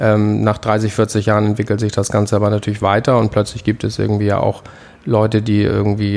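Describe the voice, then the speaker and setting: A man talks at a fairly quick pace with a fairly low pitch. There is noticeable background noise. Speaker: graffiti artist. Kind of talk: interview. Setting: artist's studio.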